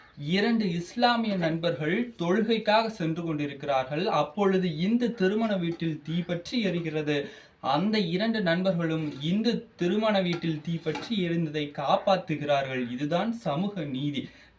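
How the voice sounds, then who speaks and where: With noticeable background noise behind him, a man speaks in a high pitch with ordinary pitch variation. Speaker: college student speaker. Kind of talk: speech. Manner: animated, oratorical.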